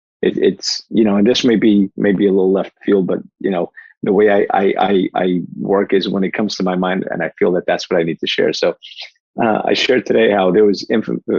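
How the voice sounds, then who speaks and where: At a fairly quick pace, a man talks with a New Jersey accent. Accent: New Jersey American. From New Jersey, US; born in Portugal. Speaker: life coach and keynote speaker. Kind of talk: podcast interview. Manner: fast; animated.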